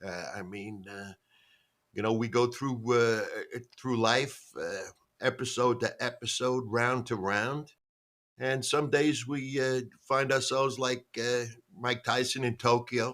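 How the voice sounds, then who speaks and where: With a New York accent, a man talks at a fairly slow pace and medium pitch with fairly even intonation, in a very clean recording with a silent background. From New York, the Bronx. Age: 70s. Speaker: stand-up comedian. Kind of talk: podcast interview. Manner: halting, many fillers.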